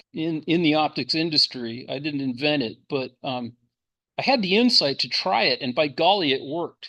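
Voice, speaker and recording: Against a quiet background, a man speaks in a bright, sharp tone at a fairly high pitch. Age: 60s. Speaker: amateur telescope maker giving a workshop talk. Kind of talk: technical presentation. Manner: halting, many fillers.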